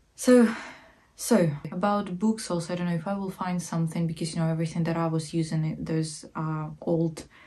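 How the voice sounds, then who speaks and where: With a Ukrainian accent, a woman speaks at a fairly quick pace in a fairly low voice with fairly even intonation. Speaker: art history vlogger. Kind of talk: casual educational talk. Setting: sitting at home while knitting. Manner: hesitant, many fillers.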